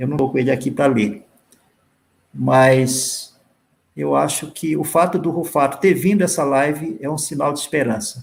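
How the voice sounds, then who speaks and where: A man talks at a fairly slow pace with vocal fry. His pitch is fairly high, with ordinary pitch variation. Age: 60s. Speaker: writer. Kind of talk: panel discussion. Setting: live stream.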